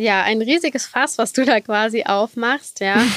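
A woman's fairly high-pitched voice. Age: 30s. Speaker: lawyer specialising in animal law. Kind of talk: interview.

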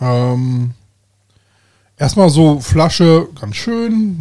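This man's voice has a fairly high pitch and a dark, mellow tone. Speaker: podcast host. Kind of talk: casual chat. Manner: loud; hesitant, many fillers.

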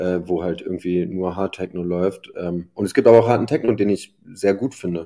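This man speaks with a very deep, low pitch and a dark, mellow tone. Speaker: event promoter and DJ. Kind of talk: podcast interview. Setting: video call.

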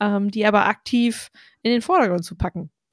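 A woman's medium-pitched, plain, everyday voice at a fairly quick pace, with ordinary pitch variation and a dry, close sound with no echo. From Ostwestfalen, Germany. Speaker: podcast host. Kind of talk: casual chat.

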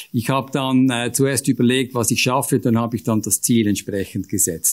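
At a moderate pace, a man talks with fairly even intonation and an ordinary speaking voice. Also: very clean recording, silent background. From Switzerland, canton of Aargau. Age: 50s. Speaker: business executive and local politician. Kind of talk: panel discussion.

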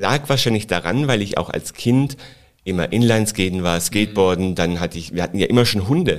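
A man with an unremarkable speaking voice, fairly low in pitch, with lively intonation at a fairly quick pace. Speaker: flight attendant. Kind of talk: casual interview.

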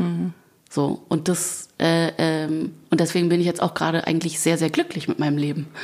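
A woman speaks at a fairly low pitch and moderate pace with very even loudness. The recording is very clean, with a silent background. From Germany. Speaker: singer. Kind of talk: interview chat. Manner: animated.

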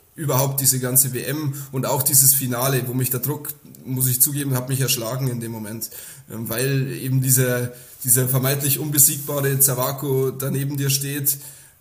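A man's monotone, flat delivery, with audible room echo and noticeable background noise. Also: medium pitch for a man, moderate pace. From Upper Palatinate, Bavaria (Kümmersbruck near Amberg). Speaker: professional nine-pin bowler. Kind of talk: interview.

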